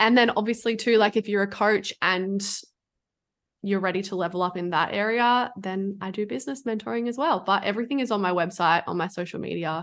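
A woman talks at a fairly quick pace in an ordinary speaking voice. Her pitch is medium with ordinary pitch variation, and the background is quiet. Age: 20s. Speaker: food freedom and business coach. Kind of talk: casual chat.

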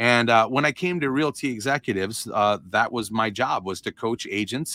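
A man talks at a moderate pace with ordinary pitch variation and a bright, sharp tone. The sound is dry and close with no echo, on a very clean recording with a silent background. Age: 40s. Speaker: real estate coach. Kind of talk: interview. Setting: kneeling on office floor for podcast.

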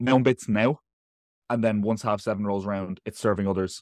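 Fairly quick, fairly low-pitched speech from a man with an Irish accent and fairly even intonation, dry and close with no echo, on a very clean recording with a silent background. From Ireland. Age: 20s. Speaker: online coach, nutritionist and teacher. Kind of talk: casual chat.

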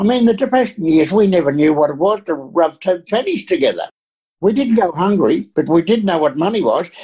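A man with an Australian accent talks at a fairly quick pace, his dark, mellow tone rising and falling in very wide pitch swings. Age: 80s+. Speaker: retired pastor. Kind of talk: interview.

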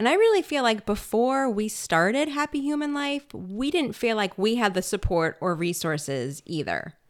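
Very wide pitch swings shape a woman's fairly high voice. She keeps a moderate pace with hardly any pauses. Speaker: parenting podcast host, pediatric occupational therapist. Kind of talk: casual conversational podcast chat. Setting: home makeshift studio.

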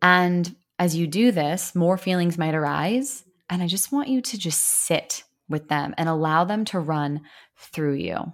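In a very clean recording with a silent background, a woman with a fairly low pitch talks at a fairly slow pace in an ordinary speaking voice. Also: lively intonation. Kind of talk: guided meditation. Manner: slow, soothing, gentle, with calm pauses and deep breaths.

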